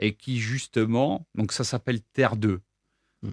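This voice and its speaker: On a very clean recording with a silent background and a dry, close sound with no echo, a man speaks very slowly at a medium pitch. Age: 20s. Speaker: visual artist and sculptor. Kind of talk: interview. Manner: hesitant, many fillers and repetitions.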